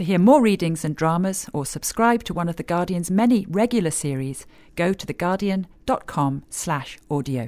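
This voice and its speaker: A woman talks at a moderate pace with hardly any pauses. Her voice has a fairly low pitch, a dark, mellow tone and lively intonation. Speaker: podcast host. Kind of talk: scripted podcast introduction.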